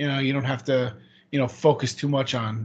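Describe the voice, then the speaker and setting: With an American accent, a man speaks very fast at a medium pitch, somewhat breathy and with fairly even intonation. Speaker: guest, host's brother. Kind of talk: casual chat. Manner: laid-back, filler-heavy.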